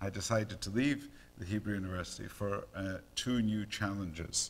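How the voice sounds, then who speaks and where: With a Scottish accent, a man is talking. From Scotland. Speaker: neonatologist and professor. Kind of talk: lecture. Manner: hesitant, many fillers.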